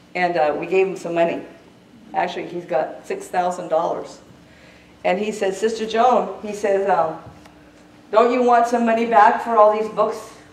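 A woman speaks with an animated tone at a fairly slow pace, leaving long, frequent pauses. Her pitch variation is ordinary, and room echo is audible. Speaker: traveling evangelist and revivalist. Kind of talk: fiery revival sermon with a fundraising appeal. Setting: church service with a responding congregation. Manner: impassioned, exhorting, with repeated call-and-response cries; animated storyteller, laughing between points. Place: church. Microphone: camera far.

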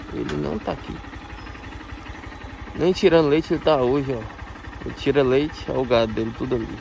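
With light background noise and a dry sound with no echo, a man talks at a very fast pace and medium pitch, his intonation lively and his loudness swinging widely. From Brazil. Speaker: motovlogger. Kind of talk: motovlog narration while riding. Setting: outdoors on a motorcycle, wearing a helmet. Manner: casual, animated.

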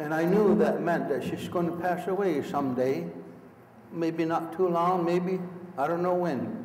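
There is noticeable background noise as a man with a high pitch speaks at a fairly slow pace with ordinary pitch variation. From Akwesasne, Mohawk Nation. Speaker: Mohawk elder, traditional teacher. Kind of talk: storytelling talk to an audience.

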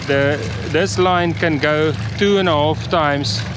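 Clear background noise sits behind a man speaking at a slow pace. His pitch is fairly high and his intonation fairly even.

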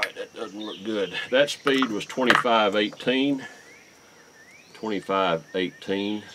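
A fairly low-pitched man at a very slow pace, with ordinary pitch variation and noticeable background noise. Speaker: YouTube shooting and reloading channel host. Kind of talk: tutorial. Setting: outdoors at a shooting range. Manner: halting.

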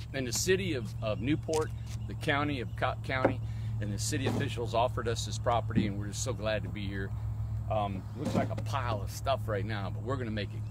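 Loud background noise surrounds a man's voice. He talks at a fairly quick pace with a dry sound and no echo. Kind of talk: casual vlog chat. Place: open country. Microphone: phone near.

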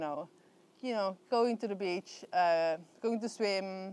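A woman speaks with ordinary pitch variation. The sound is dry with no echo. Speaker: beekeeper vlogger. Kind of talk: casual vlog chat. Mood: relaxed, cheerful, laughing. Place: garden.

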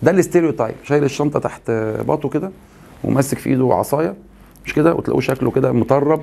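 A man with an Egyptian accent talks at a very fast pace, keeping a medium pitch and ordinary pitch variation. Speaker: English teacher. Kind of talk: lecture. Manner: animated. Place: studio.

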